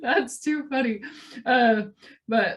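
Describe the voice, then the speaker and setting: A woman speaks at a very slow pace in a somewhat breathy voice. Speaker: talk show host. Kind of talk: casual interview chat. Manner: soft-spoken; halting.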